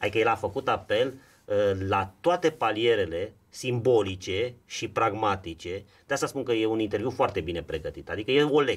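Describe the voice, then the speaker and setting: A man talks with lively intonation. His voice is somewhat breathy. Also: moderate pace. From Romania. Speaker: political commentator. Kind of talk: political discussion podcast. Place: studio. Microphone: studio mic.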